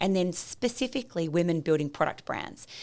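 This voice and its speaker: With an Australian accent, a woman speaks fairly quickly in a fairly low pitch. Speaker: e-commerce founder and business coach. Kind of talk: podcast interview. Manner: loud; animated.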